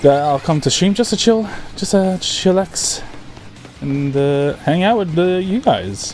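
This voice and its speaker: This man talks at a high pitch while music plays behind him. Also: ordinary pitch variation, fairly slow pace. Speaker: gaming streamer. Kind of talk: casual live stream chat. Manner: sometimes slurs words.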